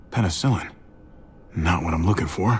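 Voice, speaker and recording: Using a put-on character voice, a man sounds raspy, with very deep, low pitch. He keeps a moderate pace and ordinary pitch variation. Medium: video game. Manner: hesitant, stammering when embarrassed.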